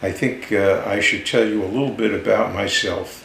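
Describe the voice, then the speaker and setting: A man speaks with a New York accent. The room echo is audible, and background noise is noticeable. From New York area (Manhattan, Long Island). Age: 70s. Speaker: podcast host. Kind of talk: personal monologue. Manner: halting, many fillers.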